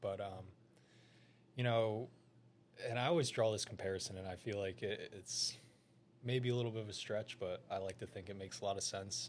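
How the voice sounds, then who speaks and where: A soft-spoken man with an American accent, fairly low in pitch with ordinary pitch variation, at a fairly quick pace with long, frequent pauses. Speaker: financial advisor, former pro baseball player. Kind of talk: casual interview.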